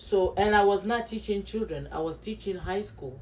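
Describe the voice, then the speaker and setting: Speaking at a fairly slow pace, a woman with a strong Ivorian accent shows ordinary pitch variation. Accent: West African (Ivorian), strong. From Ivory Coast. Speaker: podcast co-host, former teacher. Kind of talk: casual chat.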